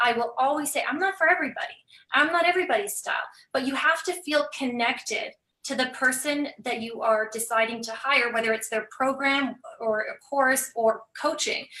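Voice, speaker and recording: A woman with a high pitch uses a raised, projected voice with a bright, sharp tone. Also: ordinary pitch variation. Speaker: business coach. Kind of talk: casual chat. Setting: live video stream. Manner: fast; animated.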